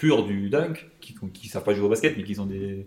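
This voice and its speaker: Speaking in a plain, everyday voice, a man has a fairly low pitch and ordinary pitch variation. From Lyon, France. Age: 20s. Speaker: guest. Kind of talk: casual chat.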